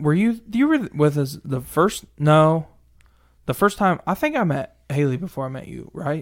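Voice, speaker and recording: The pace is moderate, with ordinary pitch variation. It is a plain, everyday voice. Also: man. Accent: American. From Missouri. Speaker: truck driver and social media creator. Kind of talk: casual chat.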